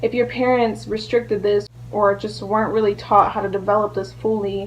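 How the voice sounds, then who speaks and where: A woman keeps to a moderate pace. Noticeable background noise is audible behind her. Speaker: astrology vlogger. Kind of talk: educational vlog talk. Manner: casual, filler-heavy.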